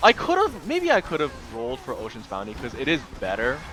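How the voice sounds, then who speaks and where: Music can be heard in the background. Over it, a man talks fairly quickly. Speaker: gamer, speedrunner. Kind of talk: gameplay commentary voiceover. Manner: casual, rambling, many fillers.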